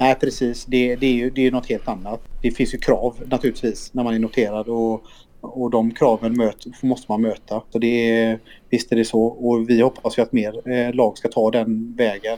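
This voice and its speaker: A man speaks at a moderate pace with a medium pitch, a monotone, flat delivery and a dark, mellow tone. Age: 30s. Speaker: esports team CEO. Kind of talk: casual interview.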